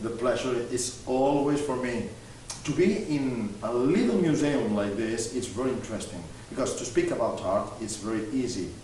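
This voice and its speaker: A man's voice shows normal pitch movement, with audible room echo and noticeable background noise around it. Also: medium pitch for a man, moderate pace. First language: French. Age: young. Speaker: art collector and TV host. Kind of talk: interview. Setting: museum gallery. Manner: halting.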